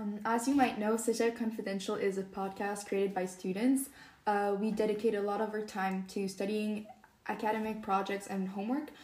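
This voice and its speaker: At a fairly quick pace, a woman speaks in a fairly high, monotone voice with flat intonation. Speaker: student podcast host. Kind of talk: interview.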